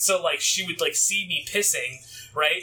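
A man keeps a moderate pace as music plays in the background. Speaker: podcast co-host. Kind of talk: casual chat.

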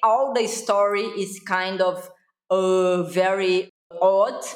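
The voice carries a Brazilian accent and ordinary pitch variation. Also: woman. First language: Portuguese. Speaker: social media influencer. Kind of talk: podcast interview. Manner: animated.

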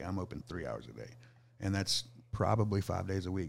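Talking very fast with vocal fry, a man with an American accent has a fairly low pitch, recorded very cleanly against a silent background. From Southeast Texas. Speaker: food truck owner. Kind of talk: casual chat.

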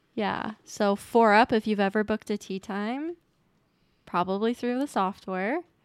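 An ordinary speaking voice from a woman with an American accent, fairly slow, with ordinary pitch variation and a dry, close sound with no echo. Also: fairly high pitch for a woman. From Utah, US. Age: 20s. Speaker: guest sharing infertility and miscarriage story. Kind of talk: casual interview.

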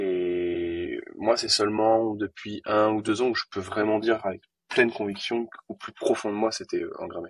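With a plain, everyday voice, a man talks at a fairly slow pace in a fairly low pitch, his intonation fairly even and the sound dry and close with no echo. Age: 20s. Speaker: entrepreneur. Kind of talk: interview.

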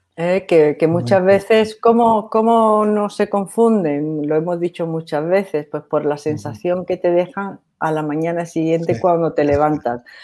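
A woman with a dark, mellow tone and fairly low pitch speaks at a fairly slow pace with hardly any pauses, on a very clean recording with a silent background. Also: ordinary pitch variation. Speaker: doctor co-hosting a spiritual advice show. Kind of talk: casual chat.

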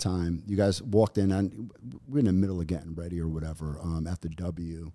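A man talks with an American accent. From Brooklyn, New York. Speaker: podcast guest, entrepreneur. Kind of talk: casual chat.

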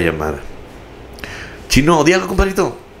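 There is noticeable background noise. Over it, a man speaks in an animated tone. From Laredo, Texas. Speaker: radio announcer. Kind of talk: casual chat.

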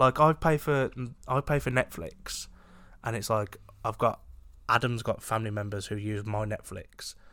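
A man with a British accent speaks at medium pitch and a moderate pace, pausing long and often. His pitch varies in an ordinary way, and the recording is very clean with a silent background. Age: 20s. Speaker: podcast co-host. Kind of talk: casual chat. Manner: joking, banter.

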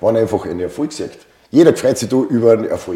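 A man with an Austrian accent. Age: 50s. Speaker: fitness coaching client. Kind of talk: interview testimony.

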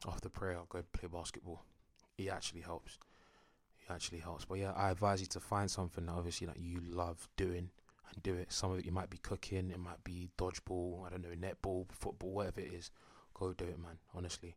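A man with a very deep, low voice speaks fairly quickly in a London accent on a very clean recording with a silent background. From North London, England (Enfield). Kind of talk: casual monologue. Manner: animated.

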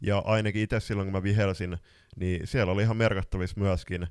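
A man's very deep, low voice with monotone, flat intonation, on a very clean recording with a silent background. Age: 20s. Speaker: floorball podcast co-host and coach. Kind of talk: casual chat.

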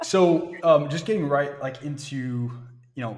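Here a man's voice is somewhat breathy. His pitch variation is ordinary. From Florida. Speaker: podcast host. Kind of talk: interview.

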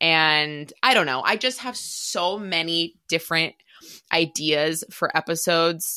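An excited voice with a bright, sharp tone speaks at a fairly slow pace with ordinary pitch variation, on a very clean recording with a silent background. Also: woman, fairly low pitch for a woman. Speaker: podcast host. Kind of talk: solo podcast intro, casual monologue. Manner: excited, emotional, candid.

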